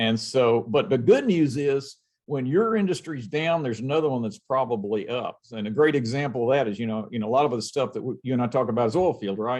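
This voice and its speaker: A man speaks with hardly any pauses in a medium-pitched, unremarkable speaking voice, his pitch varying in an ordinary way. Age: 60s. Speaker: robotics company owner. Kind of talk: interview.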